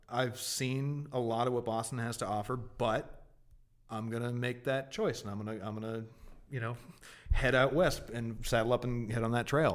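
An unremarkable speaking voice from a man with an American accent, medium pitch, fairly even intonation and a moderate pace. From Massachusetts (Martha's Vineyard). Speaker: video game journalist. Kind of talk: casual chat.

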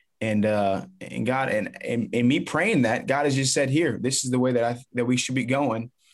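A man with an unremarkable speaking voice talks at a moderate pace with an American accent and hardly any pauses. His pitch is medium, with ordinary pitch variation. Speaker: motivational speaker and former baseball player. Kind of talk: interview.

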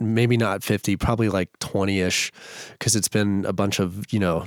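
A normal speaking voice at a moderate pace, with fairly even intonation. The recording is very clean, with a silent background and a dry, close sound with no echo. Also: man. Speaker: bass music producer. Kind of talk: casual interview chat. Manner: laid-back.

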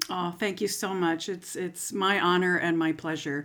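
A woman with an American accent has an ordinary speaking voice, pitched fairly low, with fairly even intonation. She speaks at a moderate pace on a very clean recording with a silent background. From US, Florida (St. Petersburg). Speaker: clarinet professor. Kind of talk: interview.

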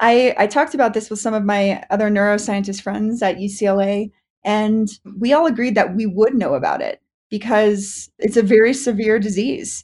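A somewhat breathy woman at a fairly high pitch and moderate pace, ordinary pitch variation, over a quiet background. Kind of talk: casual chat.

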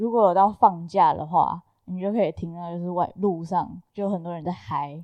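In a plain, everyday voice, a woman with a fairly low pitch speaks at a moderate pace, her intonation fairly even and her loudness swinging widely. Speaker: graduate student. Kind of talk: casual chat.

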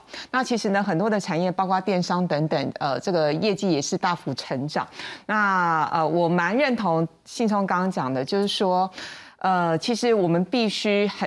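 An ordinary speaking voice from a woman, medium in pitch, with ordinary pitch variation, very even loudness and a moderate pace, on a very clean recording with a silent background. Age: 50s. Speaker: veteran journalist. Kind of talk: panel discussion.

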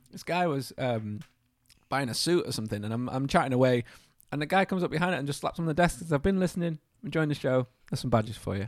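Rattling along at a very fast pace, a man with a fairly high pitch and lively intonation is heard on a very clean recording against a silent background. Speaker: podcast host. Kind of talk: casual chat. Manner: animated.

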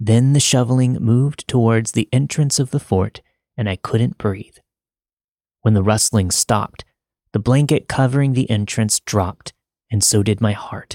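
A man's fairly low voice with ordinary pitch variation and long, frequent pauses, on a very clean recording with a silent background. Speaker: podcast narrator. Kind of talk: scripted horror narration of a listener's true story, read aloud. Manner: hushed, slow, suspenseful, building dread.

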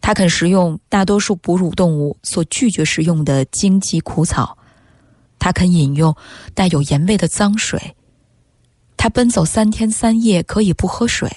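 A somewhat breathy woman's voice at very even loudness. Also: medium pitch for a woman, ordinary pitch variation, dry, close sound with no echo. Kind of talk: literary reading aloud of a Chinese essay, expressive narration. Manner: slow, sombre, emotive and mournful, lingering over the imagery of the suffering camels.

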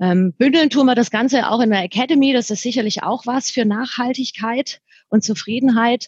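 A woman with a slight southern German accent speaks at a high pitch and a moderate pace, with ordinary pitch variation. The sound is dry and close with no echo. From southern Germany. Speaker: franchise recruiting director. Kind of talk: podcast interview.

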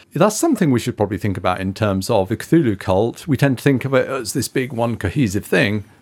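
Speaking at a very fast pace with hardly any pauses, a man uses a medium pitch with ordinary variation. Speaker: podcast co-host. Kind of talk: casual chat.

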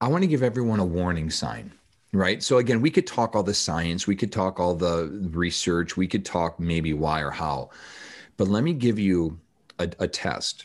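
The pace is moderate and the background is quiet. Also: man, very deep, low pitch for a man, lively intonation. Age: 40s. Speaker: author and natural health educator. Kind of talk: interview. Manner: animated.

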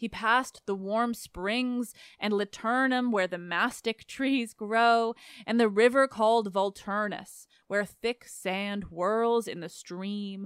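A woman's fairly high voice at a very slow pace, on a very clean recording with a silent background. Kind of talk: literary audiobook reading. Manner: steady, measured narration; formal, even-paced, flowing through long lists of place names.

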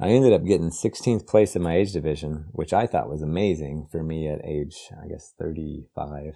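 A man with an American accent has a very deep, low voice and ordinary pitch variation. He talks at a moderate pace with hardly any pauses against a quiet background. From West Virginia. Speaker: author and recovering addict. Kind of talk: recovery testimony.

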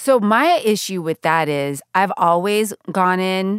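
An animated woman with an American accent, medium in pitch with ordinary pitch variation, at a fairly slow pace. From Northern California. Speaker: radio journalist and podcast co-host. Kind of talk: casual interview. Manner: animated, laughs often.

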